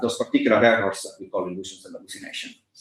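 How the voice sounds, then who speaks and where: A man with an Italian accent. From Italy. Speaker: philosophy lecturer. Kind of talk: academic lecture. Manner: halting, many fillers.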